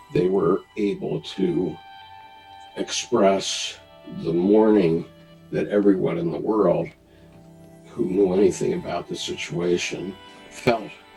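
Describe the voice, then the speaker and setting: With music in the background, a man talks at a very slow pace, leaving long, frequent pauses. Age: 70s. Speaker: retired Marine and business executive. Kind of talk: interview answer.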